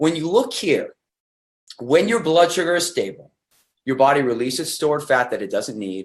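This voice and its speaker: A man talks at a fairly quick pace with lively intonation. His voice has vocal fry. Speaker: nutrition company presenter. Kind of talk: webcast presentation. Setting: video webcast. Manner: fast.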